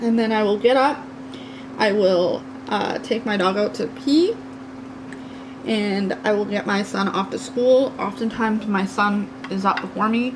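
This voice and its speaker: Speech at a fairly slow pace with ordinary pitch variation and long, frequent pauses plays over noticeable background noise. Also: woman, fairly high pitch for a woman. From Canada, New Brunswick. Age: 30s. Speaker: craft youtuber. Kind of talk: casual chat. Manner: loud.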